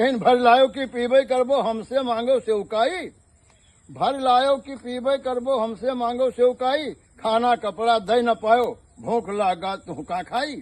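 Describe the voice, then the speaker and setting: Against a quiet background, a man with an Awadhi accent speaks at an extremely high pitch with ordinary pitch variation. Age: 50s. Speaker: village storyteller. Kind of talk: folk storytelling.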